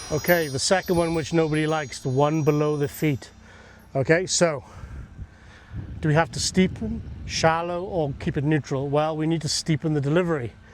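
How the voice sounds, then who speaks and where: With an English accent, a man speaks at a moderate pace and fairly high pitch, using fairly even intonation and long, frequent pauses. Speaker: golf coach. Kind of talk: golf instruction demo.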